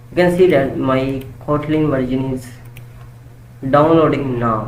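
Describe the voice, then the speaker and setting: Noticeable background noise beneath a fairly slow pace of speech. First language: not English. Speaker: programming tutor. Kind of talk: tutorial. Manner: halting.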